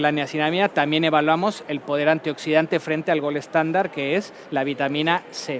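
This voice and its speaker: This man's voice sits fairly high and moves at a moderate pace with fairly even intonation. Noticeable background noise runs underneath. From Mexico. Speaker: pharmaceutical company medical director. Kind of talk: conference talk.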